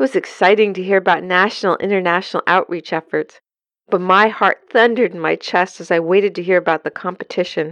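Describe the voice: Quiet surroundings behind plain reading aloud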